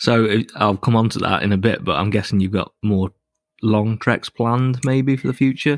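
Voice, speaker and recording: In a very clean recording with a silent background and a dry, close sound with no echo, a man speaks at a moderate pace with a normal speaking voice, medium pitch and ordinary pitch variation. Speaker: podcast host. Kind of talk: interview chat.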